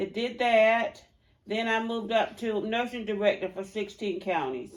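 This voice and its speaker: Speaking in a Georgia accent, a woman moves at a moderate pace with ordinary pitch variation. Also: fairly high pitch for a woman. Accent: Southern US (Georgia). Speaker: retired public health nurse. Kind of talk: oral history interview.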